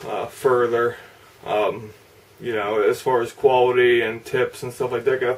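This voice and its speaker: Monotone, flat intonation from a man at a moderate pace, with noticeable background noise. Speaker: model car hobbyist YouTuber. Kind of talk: casual video update and tutorial. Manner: halting, many fillers.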